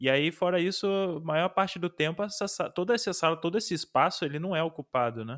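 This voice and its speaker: Speaking at a fairly quick pace, a man uses a high-pitched voice with ordinary pitch variation. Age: 20s. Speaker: programmer. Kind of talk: casual chat.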